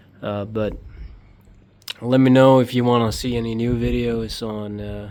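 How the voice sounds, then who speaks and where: Audible room echo surrounds a man's voice. His tone is dark and mellow, and his intonation is monotone and flat. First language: not English. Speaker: motorcycle hobbyist YouTuber. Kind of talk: DIY tutorial vlog. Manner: halting, many fillers.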